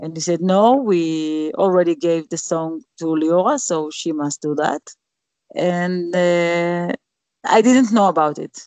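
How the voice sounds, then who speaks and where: With an Israeli accent, a woman talks at a very slow pace in a fairly low pitch with ordinary pitch variation, the sound dry and close with no echo. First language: Hebrew. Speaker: singer. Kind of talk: interview. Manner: halting.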